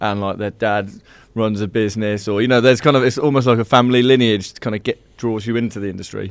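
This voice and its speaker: In a very clean recording with a silent background, a man with a Birmingham accent talks at a very fast pace in a fairly low pitch with fairly even intonation. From English Midlands, Birmingham. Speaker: software company founder. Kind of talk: casual chat.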